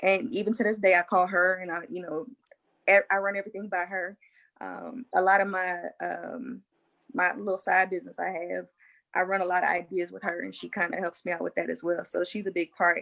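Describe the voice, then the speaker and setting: With a plain, everyday voice, a woman speaks at a fairly quick pace, her medium pitch held in fairly even intonation. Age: 30s. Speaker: military service member and panel guest. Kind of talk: casual panel discussion.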